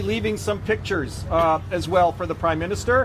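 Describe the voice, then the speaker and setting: You can hear a noticeable amount of background noise. Over it, a man's speech moves fairly quickly. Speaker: activist organizer. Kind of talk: protest speech.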